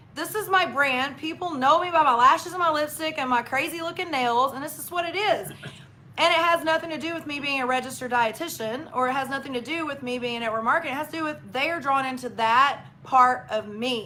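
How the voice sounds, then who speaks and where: A woman with a Southern US accent talks at a very fast pace in a raised, projected, high-pitched voice with big swings in loudness. Noticeable background noise can be heard. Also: ordinary pitch variation. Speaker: registered dietitian and network marketer. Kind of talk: live stream interview. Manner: animated.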